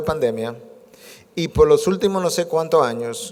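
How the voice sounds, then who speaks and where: Lively intonation runs through a man's ordinary speaking voice, which sits at a fairly high pitch. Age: 60s. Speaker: preacher. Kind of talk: sermon.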